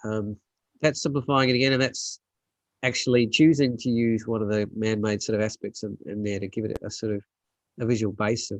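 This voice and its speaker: Dry and close with no echo, a man with an Australian accent talks at a fairly quick pace, his medium pitch fairly even in intonation. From South Australia. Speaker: landscape photographer. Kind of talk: casual chat. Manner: hesitant, many fillers.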